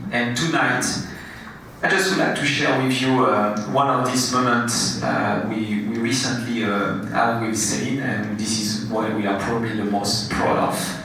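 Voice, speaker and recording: There is noticeable background noise and audible room echo. A man talks at a fairly slow pace. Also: medium pitch for a man, ordinary pitch variation. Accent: French. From France. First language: French. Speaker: award honoree, nonprofit restaurant founder. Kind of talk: award acceptance speech. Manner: halting.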